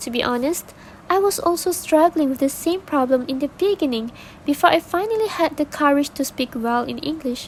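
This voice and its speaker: Over noticeable background noise, a woman speaks fairly quickly in a high voice with lively intonation. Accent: non-native. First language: not English. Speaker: podcast guest. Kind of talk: scripted podcast discussion. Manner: formal.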